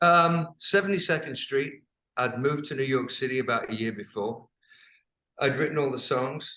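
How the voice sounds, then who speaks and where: A man talks with an English accent and a fairly high pitch. His tone is bright and sharp. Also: ordinary pitch variation, moderate pace. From England. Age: 70s. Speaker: rock singer and songwriter. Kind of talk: interview answer.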